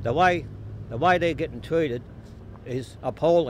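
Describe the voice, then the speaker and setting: At a moderate pace, a man speaks in an Australian accent with ordinary pitch variation. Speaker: public housing tenant advocate. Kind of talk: protest speech. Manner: impassioned.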